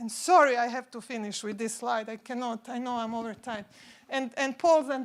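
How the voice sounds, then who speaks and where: A woman's high-pitched voice with fairly even intonation. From Croatia. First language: Croatian. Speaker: consultant. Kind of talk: conference talk.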